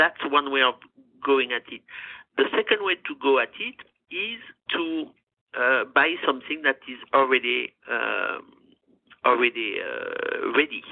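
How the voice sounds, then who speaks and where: The speaker talks at a fairly slow pace with a French accent, leaving long, frequent pauses. Loudness swings widely from moment to moment. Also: woman. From France, Gascony. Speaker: chef and food business owner. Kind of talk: interview. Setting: phone call.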